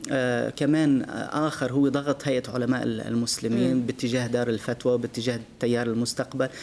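A man is speaking. His pace is fairly slow. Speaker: guest. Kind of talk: interview answer. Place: studio.

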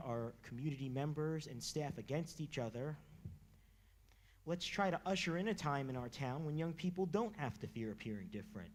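Speaking with an American accent, a man keeps a moderate pace and a fairly high pitch. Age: 20s. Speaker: public commenter. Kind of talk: public comment speech. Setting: public meeting room. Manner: reading a prepared speech.

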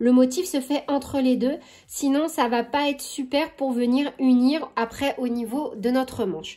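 The voice is dark and mellow, moving at a fairly slow pace with ordinary pitch variation over a quiet background. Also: woman, high pitch for a woman. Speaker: crochet tutorial creator. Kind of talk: tutorial. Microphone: phone near.

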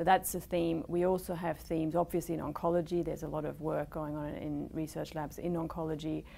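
A woman speaks with a very deep, low pitch, vocal fry and a dark, mellow tone. Her delivery is fairly quick and monotone, with hardly any pauses. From Germany. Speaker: fund manager. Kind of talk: interview. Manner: hesitant, frequent fillers. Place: studio. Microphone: lapel.

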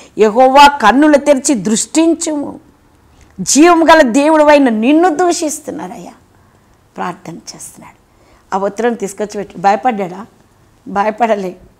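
A woman speaks at a high pitch with very wide pitch swings and big swings in loudness. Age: 60s. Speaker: pastor. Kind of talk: sermon. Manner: animated. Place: studio. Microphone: lapel.

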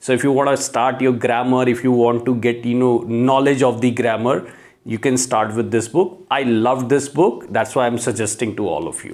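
A man speaks at medium pitch with ordinary pitch variation and a slightly mellow tone. He keeps a moderate pace with few pauses.

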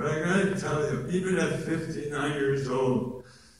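A man speaks with ordinary pitch variation amid strong room echo. Light background noise sits behind him. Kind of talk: speech to a conference audience. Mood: grateful, heartfelt. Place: hall. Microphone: camera far.

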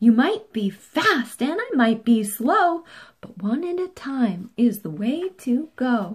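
Speaking slowly in a put-on character voice, a woman uses a fairly high pitch with a slightly husky edge and big pitch swings.

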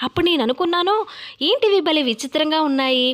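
Behind noticeable background noise, a woman speaks with lively intonation. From Godavari districts, Andhra Pradesh, India. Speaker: YouTube vlogger. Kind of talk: informational vlog.

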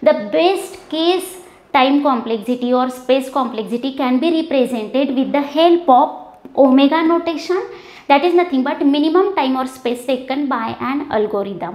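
A woman speaks at a moderate pace with a high pitch. Some room echo can be heard. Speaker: teacher. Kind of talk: lecture. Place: classroom. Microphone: lapel.

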